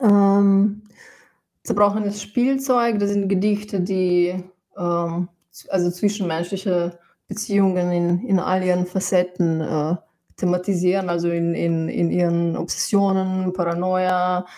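Speaking at a very slow pace, a woman with a Slovenian accent keeps a medium pitch and fairly even intonation. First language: Slovenian (speaking German). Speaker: musician and poet. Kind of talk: interview. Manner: halting.

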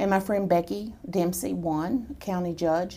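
The voice has an American accent, a dark, mellow tone and fairly even intonation. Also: woman. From Texas. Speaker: political activist. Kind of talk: interview.

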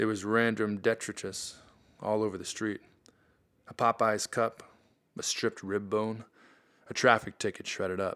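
A man speaks at a moderate pace in a fairly low pitch, his tone dramatic and weary and his intonation flat and monotone. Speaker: audio drama narrator. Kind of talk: noir detective narration, scripted first-person crime fiction read aloud. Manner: gritty, world-weary, hard-boiled; wry, measured, dramatic with clipped delivery.

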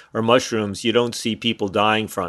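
A man with a New York accent speaks at a very fast pace. His pitch is fairly low. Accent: New York area American. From US, New York City suburbs. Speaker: drug policy activist. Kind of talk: interview. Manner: halting.

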